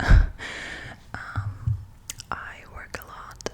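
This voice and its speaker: Noticeable background noise sits under someone's whispering. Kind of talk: ASMR book show and tell. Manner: whispered.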